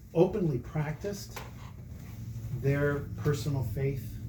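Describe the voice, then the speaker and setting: A man speaks with audible room echo around him. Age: 60s. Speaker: church member giving faith testimony. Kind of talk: testimony. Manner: casual, conversational.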